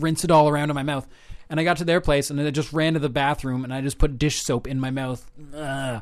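With a normal speaking voice, a man talks fairly quickly at a fairly high pitch and with fairly even intonation against a quiet background. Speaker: campus radio co-host. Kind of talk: casual comedic radio chat. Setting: radio studio. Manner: playful, jokey.

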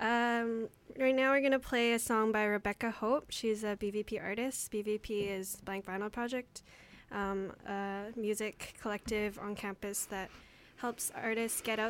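A woman with an unremarkable speaking voice talks at a moderate pace, her pitch fairly high. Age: young. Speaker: student radio co-host. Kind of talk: radio announcements and chat.

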